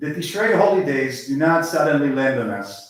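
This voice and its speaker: Audible room echo surrounds a man with an Israeli accent and a fairly high pitch. He talks at a moderate pace with lively intonation. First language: Hebrew. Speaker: lay speaker at synagogue service. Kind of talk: sermon.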